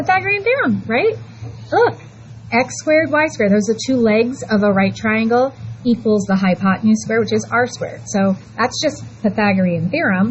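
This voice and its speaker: The speaker is a woman talking at a fairly quick pace. Noticeable background noise runs behind her. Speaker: high school math teacher. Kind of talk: classroom lecture. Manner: halting, stumbling over words; casual, chatty.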